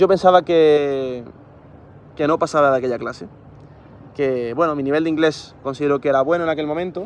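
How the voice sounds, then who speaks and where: The man's pace is very fast. His intonation remains fairly even. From Spain, Granada (Andalusia). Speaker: engineer and education youtuber. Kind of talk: casual vlog monologue. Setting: outdoors on a rooftop. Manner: halting, many fillers.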